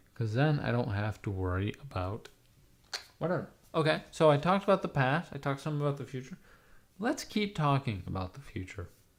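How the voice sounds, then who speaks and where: A man talks at a fairly quick pace in a somewhat breathy voice, his pitch fairly high and swinging very widely. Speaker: livestreamer. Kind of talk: casual chat. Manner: rambling, halting with many ums.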